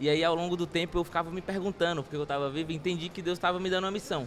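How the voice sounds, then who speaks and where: A man speaks with fairly even intonation at a fairly high pitch, with music in the background. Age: 20s. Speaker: social project founder. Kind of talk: interview.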